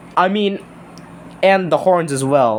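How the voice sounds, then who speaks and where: This is a man speaking with ordinary pitch variation. Background noise is noticeable. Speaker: toy reviewer. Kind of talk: toy review video. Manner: halting.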